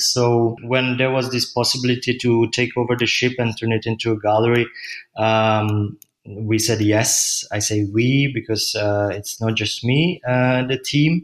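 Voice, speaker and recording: The speaker is a man with a Czech accent. His pace is fairly slow. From Czech Republic. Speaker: gallery owner. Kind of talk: interview. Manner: hesitant, many fillers.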